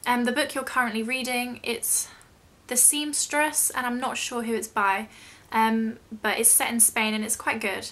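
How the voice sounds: A woman's fairly high pitch and fairly bright tone, with fairly even intonation at a moderate pace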